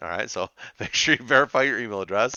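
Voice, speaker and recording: A man with an animated tone and vocal fry. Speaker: teacher. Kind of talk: tutorial. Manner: fast.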